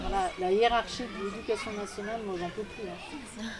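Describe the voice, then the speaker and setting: The speech moves at a moderate pace with noticeable background noise. Audible room echo is also present. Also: woman. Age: 60s. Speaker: teacher and school founder. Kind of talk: conference talk. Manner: casual, animated.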